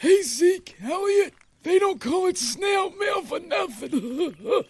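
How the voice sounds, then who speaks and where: A man uses a put-on character voice at an extremely high pitch. He delivers it at a fairly slow pace. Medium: audio drama. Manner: polite, mild.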